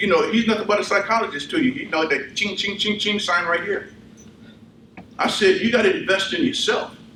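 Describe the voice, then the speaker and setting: Raising and projecting his high-pitched voice, a man talks at a fairly quick pace with lively intonation, amid noticeable background noise and audible room echo. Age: 60s. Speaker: army veteran and fitness speaker. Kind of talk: motivational talk; audience Q&A. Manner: animated.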